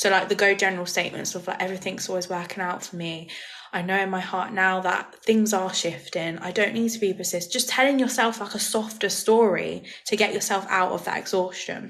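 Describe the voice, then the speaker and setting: Noticeable background noise sits behind a woman speaking at medium pitch. She talks at a fairly quick pace with fairly even intonation. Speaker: manifestation coach. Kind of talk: live stream Q&A. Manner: fast; casual.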